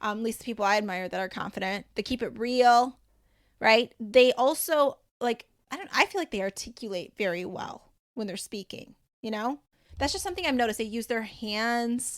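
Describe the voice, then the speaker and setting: Energetic woman's voice, fairly high in pitch, with ordinary pitch variation and big swings in loudness. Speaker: podcast host and life coach. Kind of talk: solo podcast monologue. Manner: fast.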